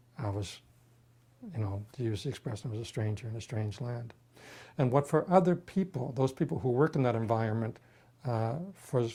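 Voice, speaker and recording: A man's somewhat breathy voice with a dark, mellow tone, medium pitch and lively intonation, at a fairly quick pace broken by long, frequent pauses. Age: 60s. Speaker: patient with terminal illness. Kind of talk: testimony. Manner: halting.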